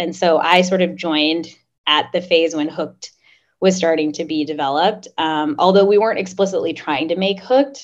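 Delivered at a moderate pace, an unremarkable speaking voice with an American accent shows ordinary pitch variation. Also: woman. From Oklahoma, US. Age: 30s. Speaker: startup founder. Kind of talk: podcast interview.

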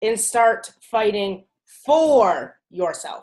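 This woman's voice is fairly high in pitch, with ordinary pitch variation. She speaks at a very slow pace. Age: 20s. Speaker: podcast co-host. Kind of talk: casual chat. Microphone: computer technical issues.

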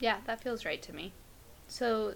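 Natural reading voice, nothing more

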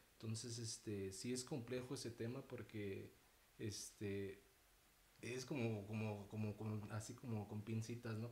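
Over noticeable background noise, a man speaks at medium pitch and a moderate pace with monotone, flat intonation. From Mexico City. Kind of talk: casual panel discussion.

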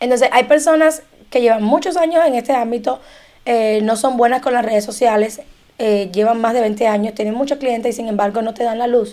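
A woman with a Cuban accent has a dark, mellow tone and ordinary pitch variation. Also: fairly quick pace. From Cuba, Havana. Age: 30s. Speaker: immigration and tax document preparer. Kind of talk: casual chat.

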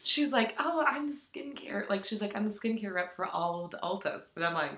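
Pitch swings very widely at a moderate pace. Noticeable background noise sits behind the voice. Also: woman. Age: 30s. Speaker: podcast co-host. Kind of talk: casual chat. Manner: animated, laughing.

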